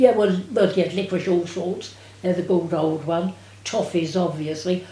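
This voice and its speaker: Somewhat breathy and dark, mellow in tone, a woman speaks at a moderate pace in a medium pitch. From England. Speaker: war-time witness. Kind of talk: interview answer.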